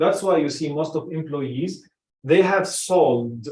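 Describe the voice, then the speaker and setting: This is a man talking. He speaks with an Arabic accent. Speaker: personal branding coach. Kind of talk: casual group discussion. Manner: halting, with many restarts.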